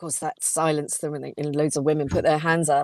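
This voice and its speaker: A woman with a London accent. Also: dry, close sound with no echo. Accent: southern English (London). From England (London). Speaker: communication coach and author, former actress. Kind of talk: casual interview chat.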